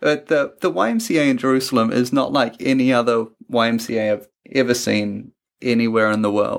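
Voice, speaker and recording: A man speaks with a New Zealand accent, his loudness very even and his intonation fairly even. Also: medium pitch for a man. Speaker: travel podcast host. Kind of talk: casual chat.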